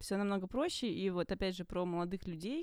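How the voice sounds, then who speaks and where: In a very clean recording with a silent background, a woman talks at a very fast pace in a dark, mellow tone, her medium pitch showing ordinary variation. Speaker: screenwriter and producer. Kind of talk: casual chat.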